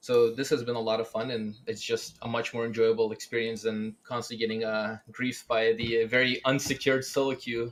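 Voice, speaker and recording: This man talks at a fairly quick pace with hardly any pauses. His pitch sits in the medium range. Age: 20s. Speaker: gamer and podcast guest. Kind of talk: casual chat. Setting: live stream podcast. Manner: animated.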